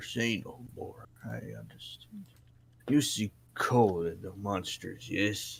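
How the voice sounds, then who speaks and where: A man's put-on character voice, medium-pitched, at a fairly slow pace. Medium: actual play. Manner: gruff, drowsy.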